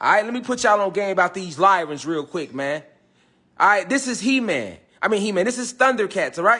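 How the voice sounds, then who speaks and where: Speaking at a fairly quick pace, a man uses lively intonation and a bright, sharp, animated tone. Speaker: esoteric teacher. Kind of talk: livestream lecture. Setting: Facebook live stream. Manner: fast.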